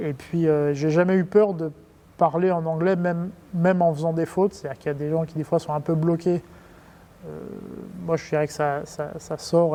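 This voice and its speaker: At a moderate pace, a man with a fairly high pitch talks with fairly even intonation. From France. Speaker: company executive. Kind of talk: interview. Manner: hesitant, many fillers and repetitions; casual.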